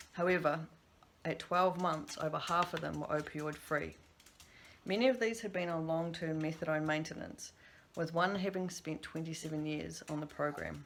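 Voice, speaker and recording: With a New Zealand accent, a woman talks at a moderate pace and a fairly low pitch, her intonation fairly even, with audible room echo. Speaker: substance use practitioner. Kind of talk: recorded conference presentation.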